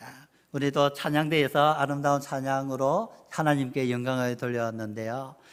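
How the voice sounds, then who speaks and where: A man talks at a very slow pace. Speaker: missionary. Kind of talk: sermon. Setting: church. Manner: halting.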